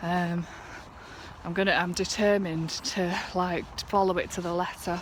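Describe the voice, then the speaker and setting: In a northern English accent, a woman with a fairly low pitch speaks at a moderate pace and in a flat monotone, amid noticeable background noise and audible room echo. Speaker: vlogger. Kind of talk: casual vlog. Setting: outdoors, walking home. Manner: slightly lisping, slurry.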